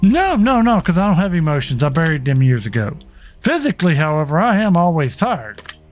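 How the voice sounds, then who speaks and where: The speaker talks at a fairly quick pace over music in the background. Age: 40s. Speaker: gaming streamer. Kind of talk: casual live stream commentary. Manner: loud.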